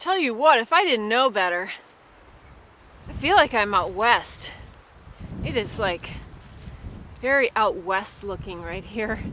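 Someone speaks at a very slow pace, and the sound is dry with no echo. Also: woman. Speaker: hiker vlogger. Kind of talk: casual vlog chat. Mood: cheerful, amused. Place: open country. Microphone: phone near.

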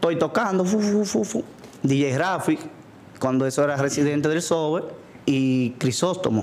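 A man with a Dominican accent speaks at a fairly slow pace, with long, frequent pauses. His pitch is fairly high, his intonation lively and his loudness very even. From Dominican Republic. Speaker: DJ. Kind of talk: casual interview. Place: studio. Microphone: studio mic.

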